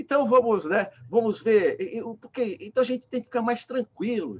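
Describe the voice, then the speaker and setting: An extremely high-pitched male voice in a dry, close sound with no echo. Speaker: spiritist lecturer. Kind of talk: lecture. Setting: video call.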